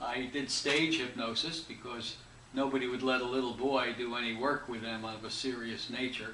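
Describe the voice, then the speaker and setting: The voice moves at a moderate pace with monotone, flat intonation. Noticeable background noise and audible room echo surround it. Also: man, medium pitch for a man. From United States. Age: 70s. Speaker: hypnotist and instructor. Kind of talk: interview. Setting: interview.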